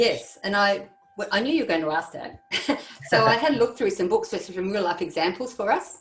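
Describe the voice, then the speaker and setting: Over noticeable background noise, a woman with an Australian accent talks fairly quickly in a fairly high voice with very wide pitch swings. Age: 60s. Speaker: primary English educator. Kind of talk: educational podcast discussion.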